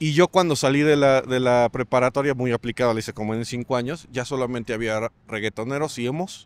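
With a fairly quick pace and ordinary pitch variation, a man's voice shows big swings in loudness in a dry recording with no echo. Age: 30s. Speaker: punk passerby interviewed at a market; interviewee. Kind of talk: casual street interview. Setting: outdoors at a street market. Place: market. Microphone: handheld.

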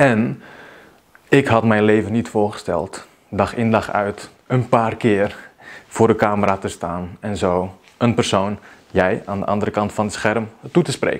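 A man speaks with a fairly low pitch and fairly even intonation. His pace is fairly slow. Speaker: video marketing coach. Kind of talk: vlog monologue. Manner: unscripted, spontaneous. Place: home room. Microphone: lapel.

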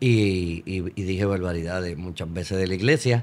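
A man talks at a moderate pace. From Puerto Rico. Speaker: priest guest. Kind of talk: casual interview. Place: studio. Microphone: studio mic.

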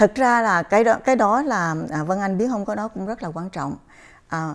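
The woman talks at a moderate pace, and her pitch varies in an ordinary way. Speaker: chiropractor. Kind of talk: interview on a health program. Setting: studio. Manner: halting, many fillers. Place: studio. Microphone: lapel.

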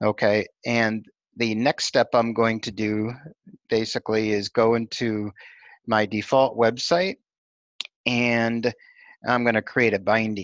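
A man at medium pitch, fairly slow and fairly even, with long, frequent pauses, a dry, close sound with no echo and a quiet background. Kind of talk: screen-recorded technical tutorial demo. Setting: screen recording with narration. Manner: monotone, flat.

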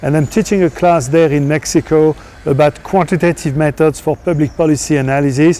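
A man with a French accent has a fairly high pitch and a dark, mellow tone. His intonation is fairly even and his loudness very even. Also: fairly quick pace. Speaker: professor; university lecturer. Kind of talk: course introduction. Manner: non-native phrasing, some hesitation. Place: garden. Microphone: lapel.

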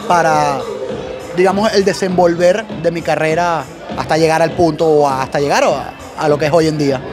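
Clear music plays in the background. Over it, a man speaks at a moderate pace and a fairly high pitch. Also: ordinary pitch variation. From Venezuela. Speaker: event MC, radio announcer and advertising professional. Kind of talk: interview answer. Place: hall. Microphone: handheld.

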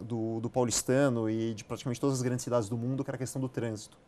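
Light background noise sits behind a man whose medium-pitched voice has a dark, mellow tone. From Brazil, São Paulo. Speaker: real estate company CEO; guest. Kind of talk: interview. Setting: studio. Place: studio.

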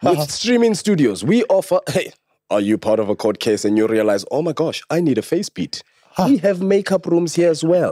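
Against a quiet background with dry sound and no echo, a man with a dark, mellow tone talks at a fairly quick pace, his pitch swinging very widely. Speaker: podcast host. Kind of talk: show intro and sponsor read. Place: studio. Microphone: studio mic.

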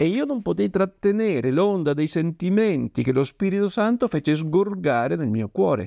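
A man's dark, mellow voice with very wide pitch swings, the sound dry with no echo and the background quiet. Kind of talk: devotional talk reading from a book. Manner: formal, earnest, didactic. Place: home room.

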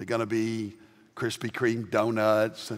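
The speaker is a man. He has a Southern US accent. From US South. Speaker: pastor. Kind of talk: sermon. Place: church. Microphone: headset.

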